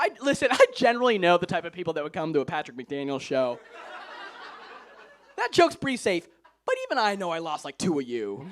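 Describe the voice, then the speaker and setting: Animated and very fast, a man speaks at a high pitch with very wide pitch swings and long, frequent pauses, over noticeable background noise. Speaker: stand-up comedian. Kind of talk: stand-up. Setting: stage with audience.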